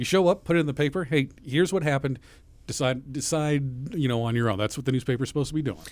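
On a very clean recording with a silent background, a man with a fairly high pitch speaks at a very fast pace with ordinary pitch variation. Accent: American. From Mahomet, Illinois. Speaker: radio host. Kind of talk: radio interview.

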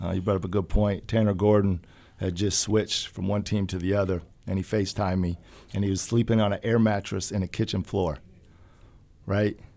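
A man with an American accent speaks fairly quickly in a dark, mellow tone and a monotone, flat delivery. The recording is very clean, with a silent background. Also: fairly low pitch for a man. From Urbana, Illinois. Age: young. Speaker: personal trainer. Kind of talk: interview.

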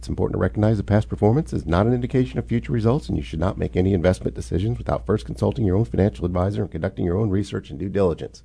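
In a robotic put-on character voice, a man talks very fast with hardly any pauses, his very deep, low pitch swinging very widely. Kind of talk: fast commercial disclaimer read.

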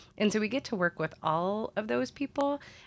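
This recording is very clean, and the background is silent. The woman's pace is moderate. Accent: American. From US Midwest, central Illinois. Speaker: city sustainability manager. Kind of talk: interview conversation. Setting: studio.

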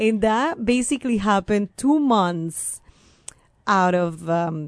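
A woman speaks with a Venezuelan accent at a medium pitch and a fairly slow pace. Her pitch swings very widely against a quiet background. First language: Spanish. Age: 30s. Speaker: court interpreter. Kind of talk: interview. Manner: energetic.

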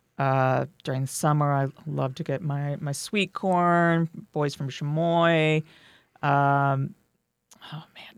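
A woman with an American accent speaks very slowly in a very deep, low voice, with fairly even intonation but big swings in loudness. The recording is very clean, with a silent background. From rural Missouri. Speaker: farmers market director. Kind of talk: interview.

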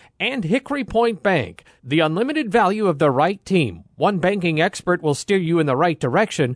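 Against a quiet background, a man with a high pitch and lively intonation speaks at a moderate pace, the sound dry and close with no echo. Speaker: radio sports show host. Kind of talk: pregame radio show. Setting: outdoors at stadium.

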